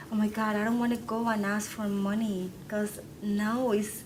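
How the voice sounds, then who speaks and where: A woman with a Spanish accent talks at a moderate pace and medium pitch, with audible room echo and noticeable background noise. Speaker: publisher of a local news site. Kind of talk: conference panel talk. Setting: training session with audience. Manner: animated.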